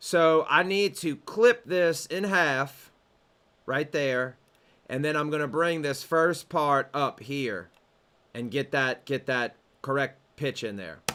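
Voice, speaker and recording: A man with a Southern US accent speaks at a very slow pace. His fairly high voice has a bright, sharp tone. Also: very clean recording, silent background. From US South. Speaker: music production teacher. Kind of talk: tutorial. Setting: home studio. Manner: casual.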